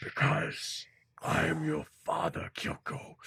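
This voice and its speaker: A man uses a put-on character voice that is raspy and very deep. He speaks at a fairly slow pace in a menacing tone. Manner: menacing, slow.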